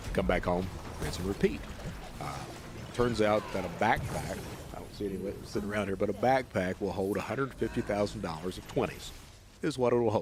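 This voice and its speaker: Over noticeable background noise, a man speaks at a fairly quick pace, leaving long, frequent pauses. His fairly low voice moves with ordinary pitch variation. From Eastern Kentucky. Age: 50s. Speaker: former fraudster telling his story. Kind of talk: long-form podcast interview. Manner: casual, matter-of-fact storytelling.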